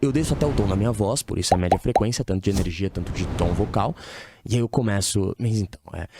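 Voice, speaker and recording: A man with a fairly low pitch talks at a very fast pace, his pitch varying in an ordinary way. The sound is dry and close with no echo, and there is noticeable background noise. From São Paulo, Brazil. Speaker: dating coach. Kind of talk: podcast interview. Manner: casual, uses slang.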